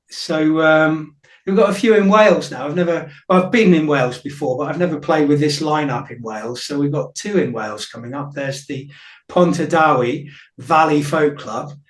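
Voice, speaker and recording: Moderate pace, big swings in loudness, and audible room echo. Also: man, fairly high pitch for a man, ordinary pitch variation. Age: 50s. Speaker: folk musician, singer-songwriter. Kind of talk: radio interview. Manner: hesitant, many fillers.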